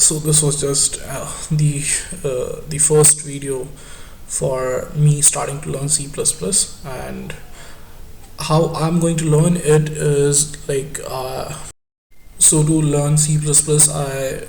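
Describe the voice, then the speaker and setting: A man speaks in a flat, monotone way at a very slow pace with long, frequent pauses, his pitch fairly high, with noticeable background noise and audible room echo. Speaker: student vlogger. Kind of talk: casual vlog monologue. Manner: halting, many fillers and repetitions.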